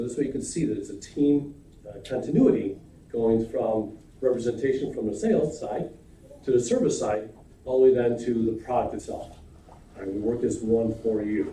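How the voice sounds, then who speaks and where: In a room with audible echo, a man of medium pitch speaks with fairly even intonation. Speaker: insurance agency president. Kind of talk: sales pitch. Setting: county committee meeting. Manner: fast.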